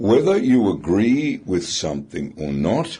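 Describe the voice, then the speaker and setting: Very slowly, a man speaks at a medium pitch with very wide pitch swings, vocal fry and a dark, mellow tone. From Britain. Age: 70s. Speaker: radio talkback commentator. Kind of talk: talkback radio discussion. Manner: animated.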